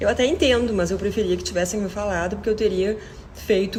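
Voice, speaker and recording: A woman speaks at a fairly quick pace with fairly even intonation. The room echo is audible, and there is noticeable background noise. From southern Brazil, Rio Grande do Sul. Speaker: deaf cochlear implant user, video creator. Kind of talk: personal testimony to camera.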